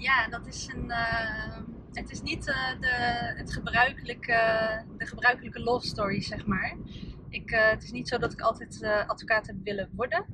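A woman's fairly high voice at a fairly slow pace, with fairly even intonation, big swings in loudness and noticeable background noise. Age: 30s. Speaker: lawyer and entrepreneur. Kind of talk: casual interview. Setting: in a car.

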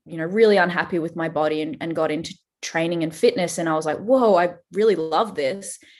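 A woman with an Australian accent, fairly low in pitch, at a fairly quick pace with ordinary pitch variation, against a quiet background. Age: 30s. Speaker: fitness trainer. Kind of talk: casual chat.

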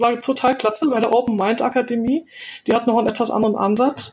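With an ordinary speaking voice, a woman talks fairly high in pitch and keeps her intonation fairly even. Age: 50s. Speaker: virtual assistant, former translator. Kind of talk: interview.

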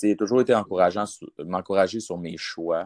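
Very deep and low, a man's voice holds a monotone, flat intonation. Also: dry, close sound with no echo. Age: 20s. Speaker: football player. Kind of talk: interview. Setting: at parents' home.

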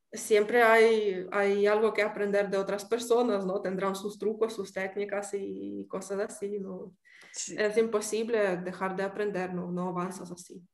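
Monotone, flat intonation at a fairly slow pace, with hardly any pauses. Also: woman, medium pitch for a woman. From Ukraine. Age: 30s. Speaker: pastry chef. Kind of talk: interview.

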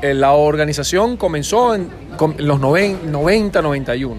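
This man speaks with a Venezuelan accent, his pitch fairly high and his intonation lively. Background noise is noticeable, and room echo can be heard. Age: 40s. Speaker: podcast co-host. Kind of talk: casual chat.

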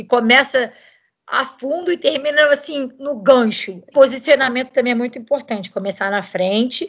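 A woman speaks at a moderate pace in a high-pitched voice. Her lively intonation comes with big swings in loudness. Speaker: professional cyclist. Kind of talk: interview.

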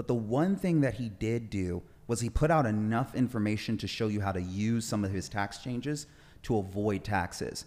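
This man has an unremarkable speaking voice, a fairly low pitch, ordinary pitch variation and a moderate pace. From Southern California (Orange County). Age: 20s. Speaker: tax strategist. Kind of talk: interview.

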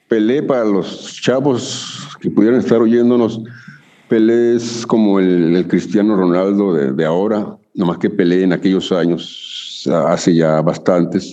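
A man's fairly low voice at a fairly slow pace, with ordinary pitch variation, very even loudness and noticeable background noise. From northern Mexico, Chihuahua. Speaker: rock musician and singer-songwriter. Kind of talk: casual interview.

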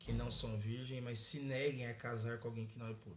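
A man talks at a medium pitch, somewhat breathy, with fairly even intonation. Audible room echo is present. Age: 20s. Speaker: pastor. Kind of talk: casual chat.

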